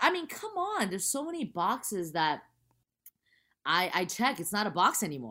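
At a moderate pace and medium pitch, a woman speaks in an animated, bright, sharp tone with very wide pitch swings and long, frequent pauses, in a very clean recording with a silent background. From US, Chinese American. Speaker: actress and stand-up comedian. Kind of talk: casual chat.

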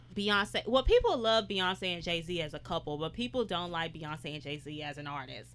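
A normal speaking voice: a woman with an American accent, fairly low-pitched, talks at a moderate pace with lively intonation, big swings in loudness and hardly any pauses. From Houston, Texas. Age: 20s. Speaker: media personality. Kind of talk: casual chat.

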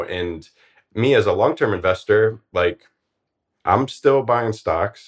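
A man with an American accent has an unremarkable speaking voice with a fairly low pitch. The recording is very clean, with a silent background. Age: 40s. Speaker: early retiree and finance blogger. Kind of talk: interview.

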